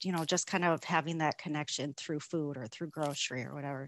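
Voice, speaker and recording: In a dry sound with no echo, a woman with an American accent speaks very fast in a very deep, low pitch. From Minnesota, US. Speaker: Korean adoptee, corporate employee. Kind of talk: interview. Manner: hesitant with fillers. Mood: warm, reflective. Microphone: video call.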